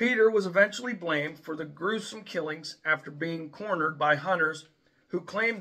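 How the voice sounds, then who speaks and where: Against a quiet background, a man's speech moves along at a moderate pace. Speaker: video host. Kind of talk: scripted informational narration. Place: home room. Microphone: phone near.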